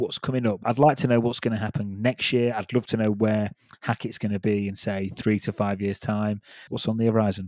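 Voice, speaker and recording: Speaking in a British accent at a fairly quick pace, a man with a fairly low pitch comes through on a very clean recording with a silent background and a dry, close sound free of echo. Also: fairly even intonation. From United Kingdom. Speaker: podcast host, recruiter. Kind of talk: casual interview chat.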